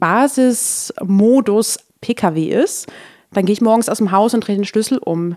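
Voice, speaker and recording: A woman speaks at a medium pitch with a dark, mellow tone, the sound dry and close with no echo. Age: 30s. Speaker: mobility researcher. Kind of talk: interview. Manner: animated.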